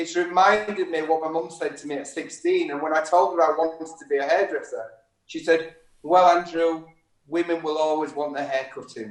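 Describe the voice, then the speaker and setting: A man with a northern English accent speaks at a fairly high pitch, his intonation fairly even and his loudness swinging widely. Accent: northern English, kept. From Yorkshire, northern England. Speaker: hairdresser. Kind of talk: casual chat. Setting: live stream interview.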